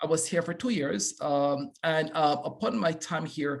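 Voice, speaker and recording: With a slight British Caribbean accent, a man speaks at a fairly slow pace, his fairly high pitch showing ordinary variation. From Belize. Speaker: professor. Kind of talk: panel discussion.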